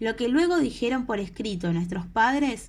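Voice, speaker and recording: Lively intonation in a woman's fairly high-pitched voice. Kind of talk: audiobook reading. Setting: home recording, no studio.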